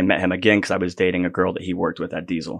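The background is quiet. A man with an American accent talks in a monotone, flat intonation. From Florida (Sebring). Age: 40s. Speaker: metal band vocalist. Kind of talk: casual interview chat.

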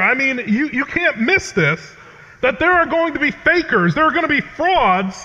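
Over noticeable background noise, a man with an American accent speaks in a raised, projected voice at an extremely high pitch with very wide pitch swings. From New England, Connecticut. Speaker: pastor. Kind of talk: sermon. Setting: chapel with audience.

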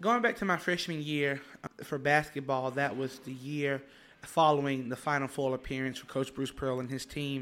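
Spoken at a moderate pace with an Alabama accent, the voice shows ordinary pitch variation. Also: man, fairly high pitch for a man. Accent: Southern US (Alabama). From Alabama, US South. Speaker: university student leader. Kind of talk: interview. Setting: studio.

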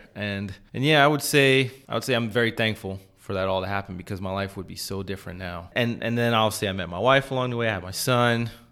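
A man talks very fast in a bright, sharp tone at a fairly low pitch, with ordinary pitch variation and hardly any pauses, on a very clean recording with a silent background. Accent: American. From US Northeast, New York City. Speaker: electrical engineer. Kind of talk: casual chat. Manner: halting.

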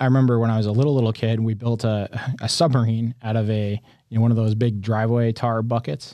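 With an American accent, a man talks at a very fast pace in a dark, mellow tone and monotone, flat intonation over a quiet background. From upstate New York. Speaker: company innovation executive and mechanical engineer. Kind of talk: casual interview.

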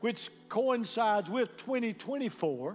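A man with a Southern US accent speaks at a high pitch in an animated tone. His pitch variation is ordinary. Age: 70s. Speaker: pastor. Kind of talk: sermon. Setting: church with live congregation. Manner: animated, call-and-response preaching.

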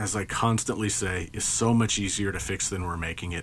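This man talks at a fairly slow pace. His pitch is fairly low, with ordinary variation. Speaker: podcast host. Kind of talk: solo podcast monologue. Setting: home recording. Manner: casual, hesitant with fillers.

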